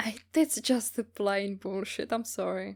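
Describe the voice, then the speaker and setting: A woman with a Czech accent at a fairly slow pace, on a very clean recording with a silent background. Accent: non-native English, Czech. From Czech Republic, small village. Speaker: voice actor. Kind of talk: interview answers, casual.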